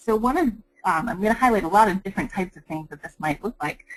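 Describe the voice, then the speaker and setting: A woman speaks very fast with lively intonation. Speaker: curriculum developer presenting educational resources. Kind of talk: webinar presentation. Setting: online webinar.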